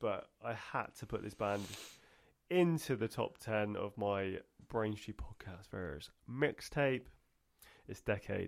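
At a very slow pace with long, frequent pauses, a man speaks in a fairly low pitch with lively intonation. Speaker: podcast co-host. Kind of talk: casual chat. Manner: animated, bantering.

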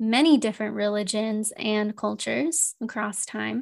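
A woman with an ordinary speaking voice, fairly high in pitch, with an American accent, at a fairly slow pace, on a very clean recording with a silent background. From United States. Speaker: integrative counselor and podcast host. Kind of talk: solo podcast monologue.

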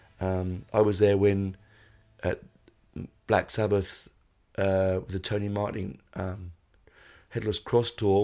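Over a very clean recording with a silent background, a man with a London accent speaks at a fairly low pitch in a dark, mellow tone with fairly even intonation. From London, England. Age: 40s. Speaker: podcast host, music fan. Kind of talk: casual monologue. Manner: rambling, hesitant.

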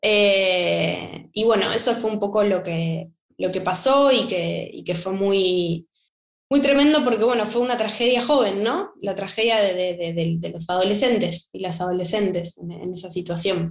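A woman's voice at a fairly slow pace with ordinary pitch variation. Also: medium pitch for a woman. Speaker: writer and playwright. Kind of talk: interview conversation. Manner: halting, many repetitions.

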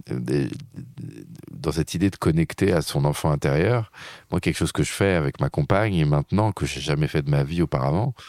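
A man speaks at a moderate pace in a very deep, low pitch with vocal fry. His intonation is lively, and the sound is dry and close with no echo. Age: 40s. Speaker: meditation teacher and author. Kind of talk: interview.

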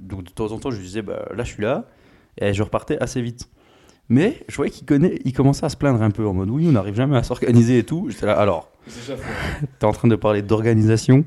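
This man speaks at a fairly quick pace in a medium pitch with a dark, mellow tone and ordinary pitch variation. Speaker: engineering student. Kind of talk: casual chat.

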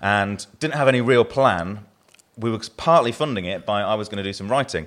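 A man talks fairly quickly, captured on a very clean recording with a silent background. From southern England. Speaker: brewery owner, brewer. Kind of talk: live podcast interview, casual chat. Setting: live audience at a podcast venue.

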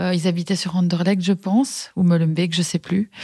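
A woman's somewhat breathy, medium-pitched voice with a dark, mellow tone and monotone, flat intonation, dry and close with no echo, in a very clean recording with a silent background. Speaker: schoolteacher and communication trainer. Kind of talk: interview testimony. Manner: halting, many fillers and repetitions.

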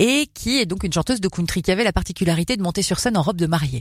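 A somewhat breathy woman at a medium pitch with very wide pitch swings, on a very clean recording with a silent background. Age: 40s. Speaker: radio host. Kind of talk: casual chat.

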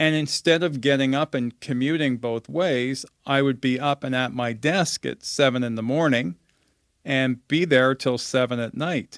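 Recorded very cleanly against a silent background with a dry, close sound and no echo, a man with a Canadian accent has an ordinary speaking voice at a medium pitch, a moderate pace and ordinary pitch variation. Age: 50s. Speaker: communications professional, former radio reporter. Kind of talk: casual interview. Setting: home basement studio.

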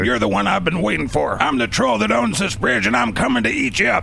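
A booming, put-on character voice rattles along at a very fast pace. Background noise is clearly heard. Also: man, medium pitch for a man. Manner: menacing.

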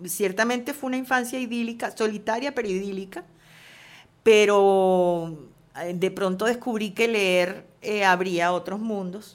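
A woman with a plain, everyday voice speaks at a medium pitch and a fairly slow pace with ordinary pitch variation, in a very clean recording with a silent background. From Venezuela, Caracas. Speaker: screenwriter and novelist. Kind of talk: interview. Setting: at her home.

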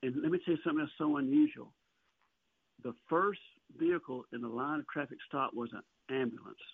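Speaking fairly quickly with a Southern US accent, a man has a fairly high voice and ordinary pitch variation. He leaves long, frequent pauses. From Alabama. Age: 60s. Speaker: songwriter and author. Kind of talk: interview.

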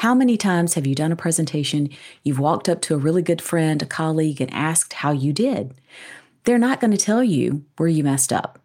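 On a very clean recording with a silent background, a woman with a Southern US accent speaks at a fairly quick pace in a very deep, low pitch, with a dark, mellow tone, lively intonation and very even loudness. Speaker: business school educator and author. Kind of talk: interview conversation.

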